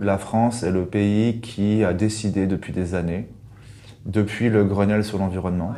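In a room with audible echo, a man speaks slowly-ish in a fairly low pitch, his tone dark and mellow and his intonation monotone and flat. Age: 30s. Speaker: communications agency account director. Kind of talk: interview.

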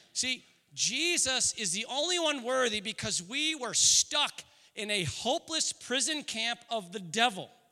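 Raising and projecting his voice, a man with a bright, sharp tone speaks at a fairly slow pace with lively intonation. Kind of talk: sermon. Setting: church. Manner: animated, earnest preacher, rhetorical questions building to an emotional pitch; warm and conversational, joking, shifting into fervent prayer.

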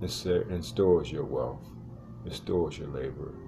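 With music in the background and audible room echo, a man speaks at a fairly slow pace in a very deep, low pitch. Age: 60s. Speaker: network marketing call host, veteran. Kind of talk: sales pitch.

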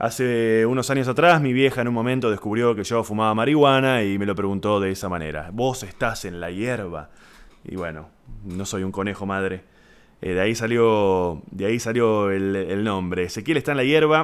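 In a Rioplatense accent, a man speaks at a moderate pace with a fairly low pitch, ordinary pitch variation and an animated tone. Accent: Argentine Rioplatense Spanish. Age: 30s. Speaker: podcast host, comedian. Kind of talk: casual monologue. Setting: home.

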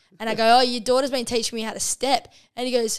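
A woman with an Australian accent speaks at a very fast pace and a high pitch in a very clean recording with a silent background. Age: 20s. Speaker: professional women's footballer. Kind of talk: casual chat. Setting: home lounge room.

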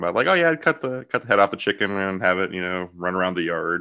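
Against a quiet background, a man with a very deep, low pitch and a bright, sharp tone speaks with ordinary pitch variation. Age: 30s. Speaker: podcast host. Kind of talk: casual interview chat.

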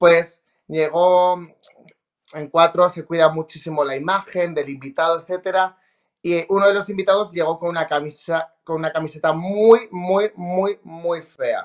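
A man speaks with a high pitch and fairly even intonation. His pace is fairly slow. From Spain, La Rioja. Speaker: TV reporter and presenter. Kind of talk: casual interview chat.

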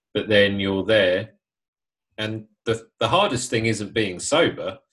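Speaking at a fairly slow pace, a man with a British accent has a medium pitch. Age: 30s. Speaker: podcast host, sober life coach. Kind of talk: casual interview.

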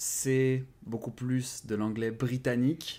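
A man speaks in a monotone with flat intonation. The recording is very clean, with a silent background. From France. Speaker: language-learning YouTuber. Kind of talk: interview.

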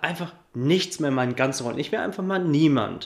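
A man with a plain, everyday voice speaks at a fairly high pitch with ordinary pitch variation. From Upper Franconia, Germany (Coburg). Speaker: life and business coach. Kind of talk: interview.

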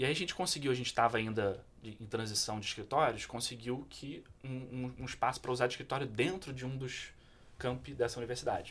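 A man speaks at a fairly quick pace with a plain, everyday voice. His pitch is medium, with ordinary variation. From Petrópolis, Rio de Janeiro state, Brazil. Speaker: social entrepreneur. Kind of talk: interview.

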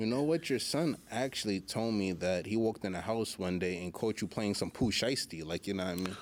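A man with an ordinary speaking voice talks at a fairly low pitch and a fairly quick pace, with ordinary pitch variation and hardly any pauses. The recording is very clean, with a silent background. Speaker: podcast host. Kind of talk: casual interview.

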